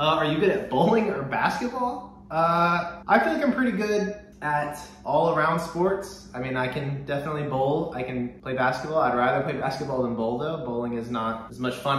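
Audible room echo and light background noise accompany a man talking at a moderate pace. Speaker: disc golf vlogger. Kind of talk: casual vlog chat, Q&A answers. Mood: relaxed, upbeat. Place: kitchen. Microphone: camera far.

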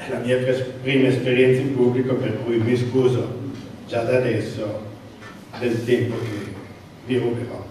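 Over light background noise and strong room echo, a man speaks fairly slowly in a flat monotone, with long, frequent pauses. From France, Italian parents. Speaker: transport sector manager, council candidate. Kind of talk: campaign speech. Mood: somewhat nervous, first public talk. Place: hall. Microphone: camera far.

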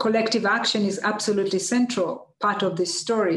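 A woman talks at a medium pitch with a fairly bright tone. Audible room echo surrounds her voice.

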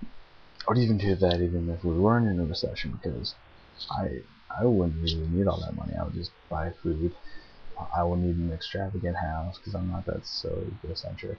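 Over light background noise, a man with a very deep, low voice speaks at a fairly quick pace. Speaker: vlogger. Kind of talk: casual vlog chat. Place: home room. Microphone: webcam.

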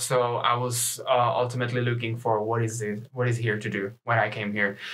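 Over noticeable background noise, a man with a Czech accent speaks at a moderate pace and medium pitch. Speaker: university student. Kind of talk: casual chat. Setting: studio.

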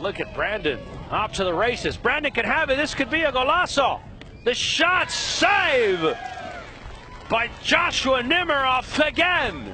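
A man's extremely high voice with very wide pitch swings and a fairly slow pace, over noticeable background noise. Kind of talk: live sports commentary on a youth soccer match, play-by-play. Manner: laughs and reacts in the moment, conversational and upbeat.

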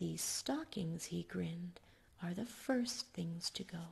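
Soft-spoken and somewhat breathy, a woman with a medium pitch talks at a fairly slow pace in a dark, mellow, soothing tone with lively intonation. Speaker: ASMR storyteller. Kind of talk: bedtime story reading for ASMR. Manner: soft-spoken, soothing. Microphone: studio mic.

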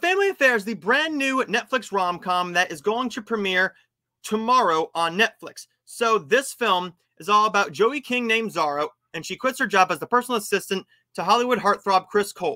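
A man's raised, projected voice with a bright, sharp tone, lively intonation and a fairly quick pace, against a quiet background. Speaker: movie show host. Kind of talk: movie review and news commentary. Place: home room. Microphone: webcam.

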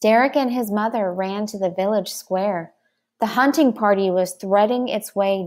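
Someone reads aloud in a natural voice, pitch varying in an ordinary way, with a quiet background.

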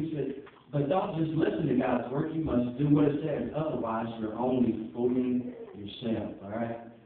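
A man at a moderate pace amid strong room echo. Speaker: preacher. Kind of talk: sermon. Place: church. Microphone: camera far.

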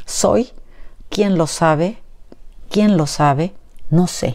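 Against a quiet background, a woman speaks very slowly in a fairly low pitch with a dark, mellow tone. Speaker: educator and book reviewer. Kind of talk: poetry reading aloud, after an informal educational talk. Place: home room. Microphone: lapel.

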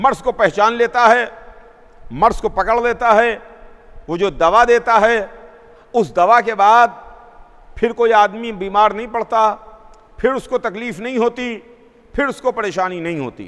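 Over a quiet background, a man with a high pitch speaks at a fairly slow pace with fairly even intonation and long, frequent pauses. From India, Lucknow; India. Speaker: Shia cleric; speaker. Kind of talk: sermon. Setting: mosque with congregation. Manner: repetitive oratorical cadence. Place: church.

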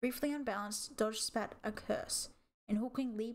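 Against a quiet background, someone reads in an unforced reading voice.

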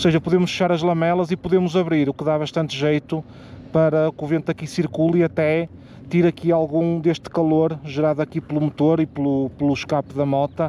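With light background noise, the speech moves at a moderate pace and keeps a fairly even intonation. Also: man, dry sound with no echo. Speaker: motorbike travel vlogger. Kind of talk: casual vlog chat. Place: street. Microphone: phone near.

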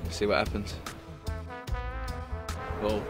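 A man speaks over clear music in the background. The sound is dry with no echo. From Southwark, London. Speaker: unemployed young man. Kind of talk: documentary interview answer. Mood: relaxed, smiling. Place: garden.

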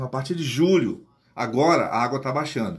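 A somewhat breathy man's voice, fairly high in pitch, with ordinary pitch variation. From Amazonas, Brazil. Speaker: teacher and guide; teacher explaining geography. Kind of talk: casual explainer to camera; casual explanatory vlog talk. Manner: hesitant, repeats words. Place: home room. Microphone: phone near.

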